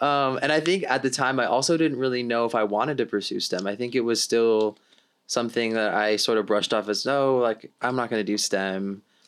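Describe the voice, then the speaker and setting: A man with an unremarkable speaking voice and an American accent talks fairly quickly at medium pitch with ordinary pitch variation. His loudness stays very even in a very clean recording with a silent background. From Miami, Florida. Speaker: undergraduate student researcher. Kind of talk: casual interview.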